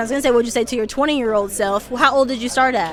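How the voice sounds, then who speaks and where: Over crowd noise in the background, a woman speaks with lively intonation. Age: 20s. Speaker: barber and interviewer. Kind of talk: casual interview. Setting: barber trade event.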